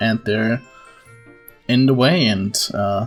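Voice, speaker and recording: The delivery keeps a moderate pace. Background music is audible. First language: non-native English speaker. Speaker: gaming video creator. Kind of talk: casual gaming commentary. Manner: rambling, hesitant.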